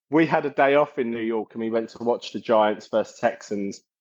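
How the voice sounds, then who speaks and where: A man with a South London accent speaks at a medium pitch and a moderate pace. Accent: twangy South London. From South London, England. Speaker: metal singer and bassist. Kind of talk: casual interview chat.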